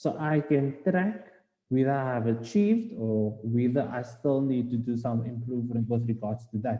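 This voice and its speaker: With a South African accent, a man speaks at a moderate pace and a medium pitch. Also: ordinary pitch variation. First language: Afrikaans. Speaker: postgraduate student speaker. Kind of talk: webinar presentation. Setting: online webinar. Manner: hesitant, many fillers.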